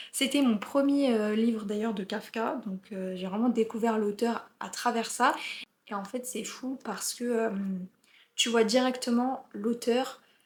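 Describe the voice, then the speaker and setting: At a very slow pace, a woman holds a fairly high pitch with fairly even intonation. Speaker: book youtuber. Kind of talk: book review. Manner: hesitant, many fillers.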